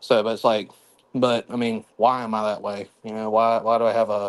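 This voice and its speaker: A fairly low-pitched male voice with a Southern US accent and monotone, flat intonation. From South Carolina, US South. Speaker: caller on livestream. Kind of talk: casual chat. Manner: halting, many fillers.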